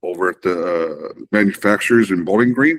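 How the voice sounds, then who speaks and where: Lively intonation marks this man's fairly low-pitched voice, delivered at a moderate pace. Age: 60s. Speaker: car enthusiast show co-host. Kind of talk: casual chat. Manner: animated.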